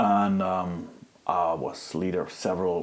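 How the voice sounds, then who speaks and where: A man's very deep, low-pitched voice with a German accent. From Germany. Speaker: activist. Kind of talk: interview.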